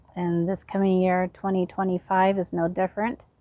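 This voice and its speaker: A normal speaking voice with fairly even intonation. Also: woman. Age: 50s. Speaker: gardening vlogger. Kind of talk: casual chat. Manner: casual, with many fillers.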